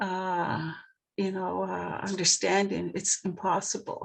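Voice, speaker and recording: A woman speaks at medium pitch with a Maritime Canadian accent. The background is quiet. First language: Mi'kmaq. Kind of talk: panel discussion. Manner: halting.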